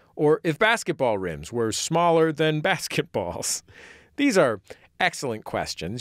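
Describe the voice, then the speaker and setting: A man speaks at a moderate pace with very wide pitch swings, his voice dry and close with no echo on a very clean recording over a silent background. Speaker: radio host. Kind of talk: podcast intro narration.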